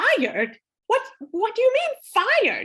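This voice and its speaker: A woman's put-on character voice, extremely high-pitched and squeaky, at a fairly slow pace with very wide pitch swings. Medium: stage play. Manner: haughty, imperious.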